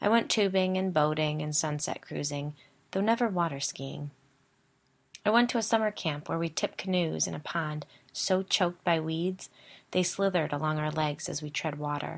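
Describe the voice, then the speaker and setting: Very clean and with a silent background, this recording features a woman. Her pitch is very deep and low, with ordinary variation. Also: moderate pace. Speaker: podcast host. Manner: storytelling, conversational.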